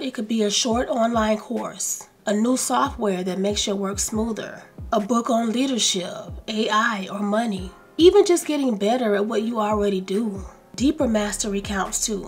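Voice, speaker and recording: Music plays in the background as a woman speaks with an American accent. Her pitch is fairly high, with ordinary variation. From US South. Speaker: lifestyle YouTuber. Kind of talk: self-help video talk. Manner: slow and calm.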